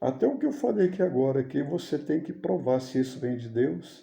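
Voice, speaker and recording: At a moderate pace, a man speaks at a medium pitch in a dark, mellow, somewhat breathy tone, with audible room echo. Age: 60s. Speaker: missionary preacher. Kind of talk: sermon. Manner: informal, conversational.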